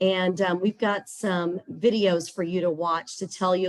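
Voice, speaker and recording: Here a woman speaks with a Texas accent. Her pitch is fairly low and her intonation fairly even. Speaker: scholarship platform representative. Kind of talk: webinar presentation.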